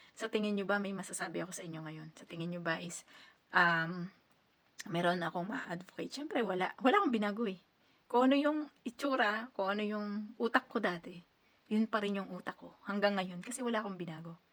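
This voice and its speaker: A woman talks at a fairly quick pace in a medium pitch with ordinary pitch variation and big swings in loudness. It is an unremarkable speaking voice. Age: 30s. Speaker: overseas worker vlogger. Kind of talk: casual advice vlog.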